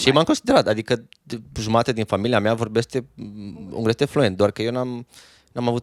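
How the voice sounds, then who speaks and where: This man has an ordinary speaking voice at medium pitch, with fairly even intonation and a moderate pace. The recording is very clean with a silent background, and the sound is dry and close with no echo. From Romania, Reghin (Transylvania). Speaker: musician. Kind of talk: casual chat.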